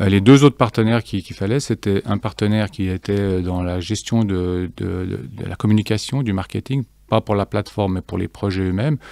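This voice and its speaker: A man speaks in a fairly low pitch with a dark, mellow tone. The sound is dry, with no echo. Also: ordinary pitch variation, moderate pace, hardly any pauses. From Geneva, Switzerland. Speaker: fintech cofounder; guest. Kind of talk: interview. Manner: halting, many fillers and repetitions. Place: studio. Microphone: studio mic.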